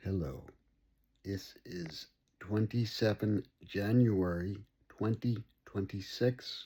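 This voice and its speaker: A man's very slow, somewhat breathy speech with long, frequent pauses, a fairly low pitch, a dark, mellow tone, and ordinary pitch variation. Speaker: brain injury survivor sharing recovery journey. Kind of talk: personal video diary monologue. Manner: slow, deliberate; halting, word-finding pauses.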